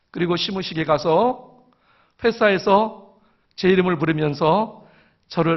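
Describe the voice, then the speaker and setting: A man talks at a moderate pace. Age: 60s. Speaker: church elder. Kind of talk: testimony.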